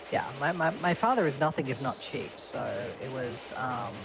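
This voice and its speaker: Someone with an Australian accent speaks at a moderate pace over music in the background. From eastern Australia. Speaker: streamer. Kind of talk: casual chat.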